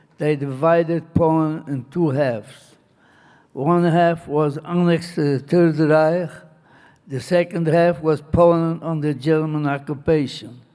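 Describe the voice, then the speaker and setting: This man has a dark, mellow tone and a fairly high pitch. He talks at a fairly slow pace with fairly even intonation. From Poland. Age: 80s+. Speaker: Holocaust survivor. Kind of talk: interview answer.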